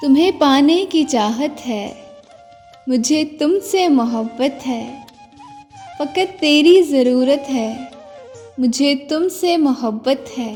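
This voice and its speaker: A soft-spoken woman's high voice, lively in intonation and soothing in tone, over background music. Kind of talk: poetry reading. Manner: soothing, soft-spoken.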